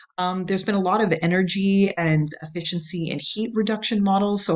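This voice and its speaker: Her pitch is fairly low, and the woman shows ordinary pitch variation. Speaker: university lecturer. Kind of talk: recorded video lecture. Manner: fast; animated.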